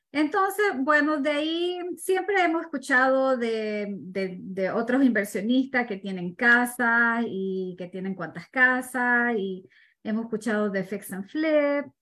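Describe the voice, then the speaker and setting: Over a quiet background, a woman with a high, bright, sharp voice speaks at a very slow pace with hardly any pauses and very wide pitch swings. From Ecuador. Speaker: real estate investor. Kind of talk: interview.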